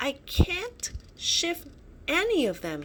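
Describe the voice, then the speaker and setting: A woman uses a put-on character voice at an extremely high pitch, with clear background noise behind her. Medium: read story. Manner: timid.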